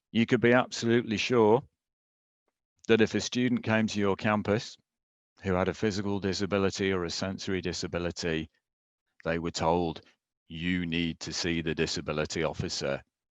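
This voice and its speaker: Over a quiet background, a man with a British accent and a very deep, low pitch talks at a fairly quick pace with ordinary pitch variation and long, frequent pauses. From UK. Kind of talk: conference presentation.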